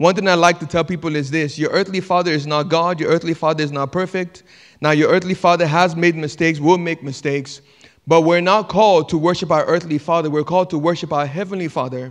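A man talks at a very fast pace in a high pitch. The background is quiet. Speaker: pastor. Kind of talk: sermon. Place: church. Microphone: handheld.

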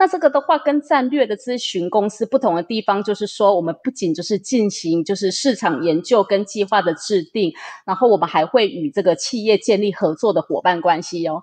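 A normal speaking voice, this woman talks at medium pitch and a fairly quick pace with lively intonation, in a dry, close sound with no echo against a quiet background. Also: hardly any pauses. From Taiwan. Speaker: interpreter and business group manager. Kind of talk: interview, interpreting.

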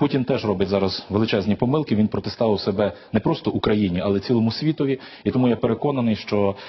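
A man's fairly low voice at a very fast pace. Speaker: studio guest. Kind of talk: TV interview. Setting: studio. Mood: firm, serious. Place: studio. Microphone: lapel.

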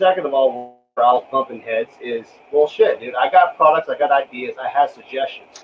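At a moderate pace, a man speaks at a fairly high pitch with ordinary pitch variation over light background noise. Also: hardly any pauses. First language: not English. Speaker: reloading channel host, military veteran; guest. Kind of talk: casual chat on livestream. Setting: live stream with online guests. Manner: animated. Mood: frustrated, venting. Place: workshop. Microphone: video call.

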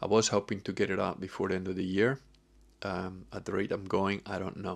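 A man with a very deep, low pitch at a fairly quick pace. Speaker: vlogger. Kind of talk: casual vlog chat. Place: home room. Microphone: webcam.

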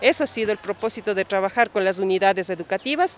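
Her pitch varies in an ordinary way as a woman speaks with a dry sound and no echo. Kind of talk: interview answer. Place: street. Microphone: handheld.

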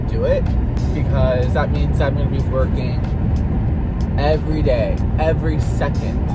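A man takes a fairly slow pace as music plays in the background. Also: dry sound with no echo. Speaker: vlogger. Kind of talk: casual vlog chat. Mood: playful, mildly complaining. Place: car. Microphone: phone near.

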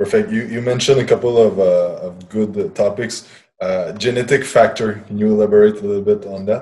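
The speaker has a Quebec accent and talks at a fairly quick pace. Loudness swings widely throughout. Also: man. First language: French. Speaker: podcast host and fitness trainer. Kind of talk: interview. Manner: halting. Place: office. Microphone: earbuds.

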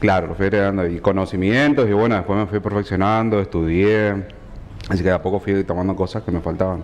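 A man's fairly low voice at a very fast pace, with very even loudness and fairly even intonation. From Argentina, Chaco (Resistencia). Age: 30s. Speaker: tailor and fashion designer guest. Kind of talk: TV interview. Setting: TV studio. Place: studio.

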